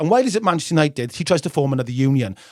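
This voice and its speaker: Speaking very fast in a northern English accent, a man uses a fairly high pitch with very wide pitch swings, and the sound is dry and close with no echo. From northern England. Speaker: football history podcast host. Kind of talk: casual chat. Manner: animated.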